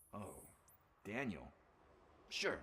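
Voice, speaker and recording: A man in a put-on character voice at a fairly low pitch. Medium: video game. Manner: casual, quippy.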